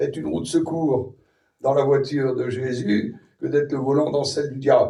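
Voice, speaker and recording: A man speaks at a moderate pace with a fairly high pitch and ordinary pitch variation. His tone is dark and mellow, with vocal fry. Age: 60s. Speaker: preacher. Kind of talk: sermon.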